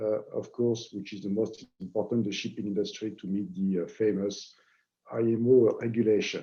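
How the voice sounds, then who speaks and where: Speaking at a moderate pace, a man with a French accent uses a fairly low pitch and a monotone, flat intonation. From France. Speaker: marketing head at equipment company. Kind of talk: webinar presentation. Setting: online webinar. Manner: hesitant, many fillers.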